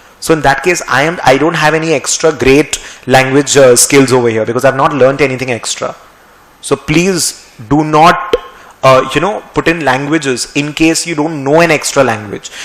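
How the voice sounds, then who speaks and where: This man's pitch is fairly high. He keeps a moderate pace with ordinary pitch variation. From India, West Bengal. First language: Marwari. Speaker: finance teacher. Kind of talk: lecture. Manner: halting. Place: studio. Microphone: podium.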